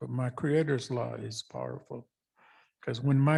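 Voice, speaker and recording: Somewhat breathy, a man talks at a fairly slow pace and medium pitch. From US Pacific Northwest, Columbia River. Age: 70s. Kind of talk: storytelling talk at a public event.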